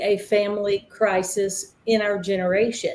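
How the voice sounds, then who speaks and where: Speaking in a Southern US accent, a woman uses a dark, mellow tone at a fairly slow pace. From Tennessee, US South. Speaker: ministry founder and recovery counselor. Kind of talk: panel interview, personal testimony.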